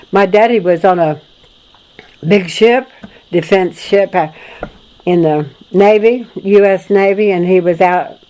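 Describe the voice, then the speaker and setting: Over noticeable background noise, a woman with an American accent talks at a fairly slow pace in fairly even intonation, leaving long, frequent pauses. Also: medium pitch for a woman. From US South, Florida. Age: 70s. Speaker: documentary photographer. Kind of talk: personal storytelling interview. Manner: halting, with many false starts.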